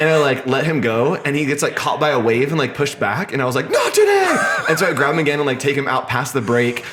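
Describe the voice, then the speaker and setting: In a room with audible echo and noticeable background noise, a man with a fairly high pitch talks at a very fast pace in an animated tone, his loudness very even. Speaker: designer and artist. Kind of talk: casual interview chat. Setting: coworking space. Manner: animated, many fillers.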